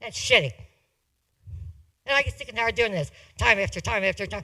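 A man speaks at a very fast pace in a raised, projected voice with a bright, sharp tone. His pitch swings very wide in a very clean recording with a silent background. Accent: American. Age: 60s. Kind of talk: public comment at meeting. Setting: county commission meeting. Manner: halting.

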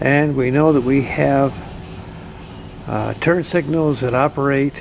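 Over light background noise, a man talks at a very slow pace. His intonation stays fairly even. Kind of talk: tutorial. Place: car. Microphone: phone near.

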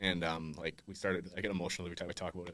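With a Western Canadian accent, a man talks at a very fast pace in a bright, sharp tone over a quiet background. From Langley, British Columbia, Canada; British Columbia, Canada. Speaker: golf apparel founder; podcast guest. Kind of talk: interview. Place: studio. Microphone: studio mic.

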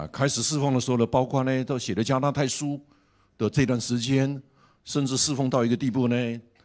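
The background stays quiet as a man speaks at a moderate pace. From Taiwan. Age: 60s. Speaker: pastor and seminary professor; pastor, seminary professor. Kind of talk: sermon.

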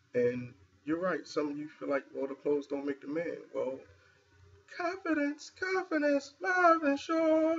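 Light background noise sits under a man's speech. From Philadelphia. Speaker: video blogger. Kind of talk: casual New Year greeting video. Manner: informal, chatty, filler-heavy. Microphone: webcam.

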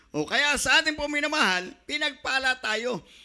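Shouting in a raised, projected voice, a man swings his pitch very widely with a bright, sharp tone at a moderate pace over a quiet background. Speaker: preacher. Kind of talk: sermon. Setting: church. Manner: fervent, pulpit-style delivery with repeated 'minamahal' and shouted praises. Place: church. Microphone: handheld.

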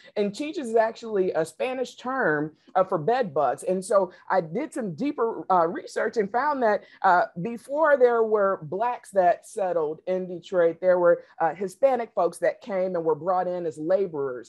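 A woman speaks at a medium pitch and a fairly slow pace against a quiet background. Her pitch swings very widely. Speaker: equity consultant and real estate investor; panelist. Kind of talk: panel discussion. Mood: earnest, reflective storytelling. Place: home room. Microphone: video call.

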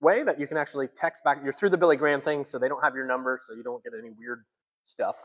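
There is a quiet background behind the man who speaks. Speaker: pastor. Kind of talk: church announcements, sermon style. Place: hall. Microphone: lapel.

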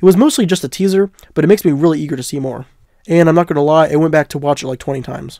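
A man talks at a very fast pace in a dark, mellow tone with ordinary pitch variation. The sound is dry and close, with no echo. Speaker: YouTube comic book news host. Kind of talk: casual talk to camera.

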